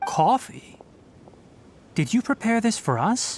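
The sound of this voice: A man's put-on character voice, high-pitched, with big pitch swings and a slow pace.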